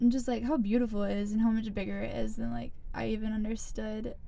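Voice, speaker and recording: Recorded with audible room echo, a woman with an American accent has a fairly high pitch and a dark, mellow tone. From US South, South Carolina. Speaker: college student, small group leader. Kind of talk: casual chat.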